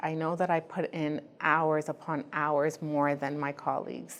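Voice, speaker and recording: In a non-native accent, a woman talks at a fairly slow pace with a very deep, low pitch against a quiet background. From Ghana, raised in Canada. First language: not English. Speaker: immigrant woman artist participant. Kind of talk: personal testimony interview.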